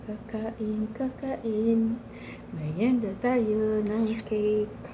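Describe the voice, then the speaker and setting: Noticeable background noise runs beneath a woman's voice. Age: 60s. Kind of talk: casual talk to camera.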